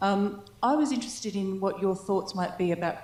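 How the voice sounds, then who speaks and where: With an Australian accent, a woman speaks at a moderate pace, with audible room echo and noticeable background noise. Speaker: audience member, maths educator. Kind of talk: audience question.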